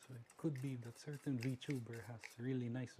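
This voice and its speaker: At a fairly slow pace, a man speaks at a medium pitch in a dark, mellow tone that is somewhat breathy. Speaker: tech hobbyist vlogger. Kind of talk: tutorial.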